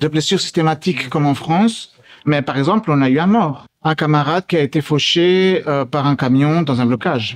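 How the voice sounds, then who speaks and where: A man speaks at a moderate pace in a fairly high voice with ordinary pitch variation. It is an unremarkable speaking voice. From Belgium. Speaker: activist. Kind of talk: street interview.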